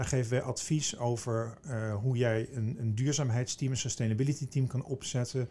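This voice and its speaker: A man speaks with fairly even intonation and hardly any pauses. His voice is somewhat breathy, with a dark, mellow tone. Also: medium pitch for a man, moderate pace. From eastern Netherlands (Veluwezoom, Gelderland). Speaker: business executive, managing director of a recruitment firm. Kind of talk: interview. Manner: halting, frequent repetitions.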